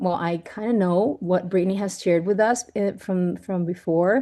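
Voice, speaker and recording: A woman with a Venezuelan accent speaks at a moderate pace. Her medium-pitched voice has a dark, mellow tone over a quiet background. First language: Spanish. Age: 40s. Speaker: network marketing leader, former chef. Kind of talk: team training talk. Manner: halting, with restarts.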